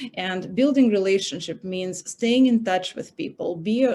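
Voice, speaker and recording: Someone speaks in a Russian accent at a moderate pace with ordinary pitch variation. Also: woman. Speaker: recruiter, career panelist. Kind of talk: panel talk. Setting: online event.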